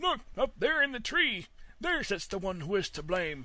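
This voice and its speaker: At a moderate pace, a man uses a put-on character voice, high in pitch with very wide pitch swings. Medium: read story.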